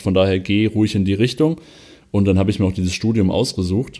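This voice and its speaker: Fairly low and dark, mellow in tone, a man's voice moves at a very fast pace with fairly even intonation. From western Germany, Vulkaneifel. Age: 20s. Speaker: arena press spokesman. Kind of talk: podcast interview.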